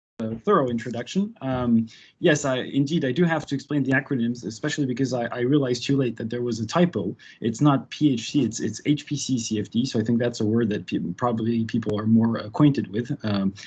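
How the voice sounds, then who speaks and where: Somewhat breathy speech from a man at medium pitch, very fast in pace, with ordinary pitch variation. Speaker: researcher presenting at a webinar. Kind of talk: lecture.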